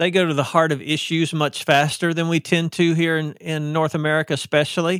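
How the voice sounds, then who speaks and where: This man has a high-pitched voice with a Southern US accent, speaking at a moderate pace on a very clean recording with a silent background. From US South. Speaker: author. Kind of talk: podcast interview.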